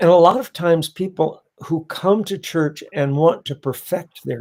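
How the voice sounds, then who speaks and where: This man has a dark, mellow tone and speaks at a fairly slow pace. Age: 70s. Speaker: pastor. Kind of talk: panel discussion. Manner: preachy, impassioned.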